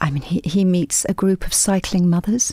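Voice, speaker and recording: A soft-spoken woman with an English accent has a dark, mellow tone at a medium pitch. She keeps a moderate pace and fairly even intonation. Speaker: novelist. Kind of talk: radio interview. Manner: halting.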